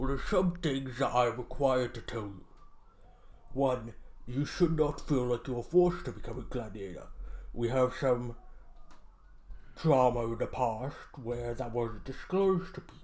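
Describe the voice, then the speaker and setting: Using a put-on character voice at medium pitch, a man speaks with big swings in loudness and long, frequent pauses. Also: moderate pace, ordinary pitch variation. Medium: actual play. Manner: officious, matter-of-fact.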